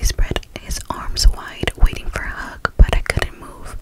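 Loud background noise sits behind a woman talking at a fairly slow pace. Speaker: storyteller. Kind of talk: story narration reading. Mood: eerie, suspenseful. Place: home room. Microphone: studio mic.

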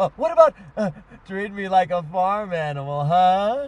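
The voice belongs to a man. His sound is dry, with no echo. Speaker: local TV horror host. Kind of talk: comedic scene dialogue. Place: car.

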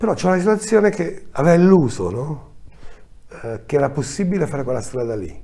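Very fast and somewhat breathy, a man's dark, mellow voice moves through very wide pitch swings. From Calabria, Italy. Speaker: film director; guest. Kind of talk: interview. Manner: hesitant, with frequent fillers. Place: studio.

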